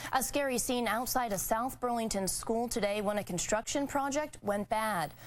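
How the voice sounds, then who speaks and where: Here is a woman with an unremarkable speaking voice. She talks at a moderate pace with ordinary pitch variation. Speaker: television news anchor and investigative reporter. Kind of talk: TV news anchor delivery.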